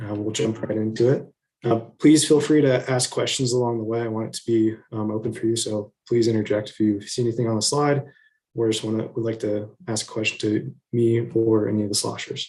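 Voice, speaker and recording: A man's medium-pitched, somewhat breathy voice at a fairly quick pace, with fairly even intonation. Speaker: city business development specialist. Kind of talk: presentation to city council. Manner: soft-spoken.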